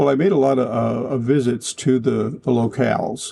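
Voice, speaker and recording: A man with a dark, mellow tone and vocal fry speaks at a moderate pace with fairly even intonation. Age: 70s. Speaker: author. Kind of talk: interview. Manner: halting, with repetitions and fillers.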